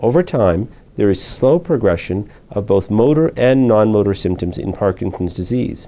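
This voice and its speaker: A man's dark, mellow, fairly low voice at a fairly quick pace. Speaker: presenter. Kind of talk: medical lecture presentation. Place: studio. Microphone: lapel.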